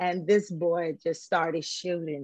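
A woman talks at a fairly slow pace. The background is quiet and the sound is dry, with no echo. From Huntsville, Alabama, US South; Alabama. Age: 50s. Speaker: former drug dealer sharing life story; talk show guest. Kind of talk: interview testimony. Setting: video call. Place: home room. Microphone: video call.

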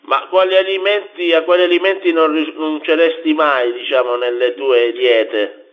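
A man with a normal speaking voice, fairly high in pitch, talks at a moderate pace with lively intonation, very even loudness and hardly any pauses. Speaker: radio interviewer. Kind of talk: radio interview.

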